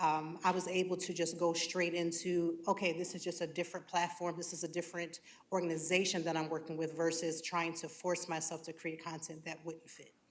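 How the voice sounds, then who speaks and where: A woman's fairly low voice, monotone and flat, at a fairly quick pace with hardly any pauses, big swings in loudness and audible room echo. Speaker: content creator. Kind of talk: panel discussion. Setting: stage with audience.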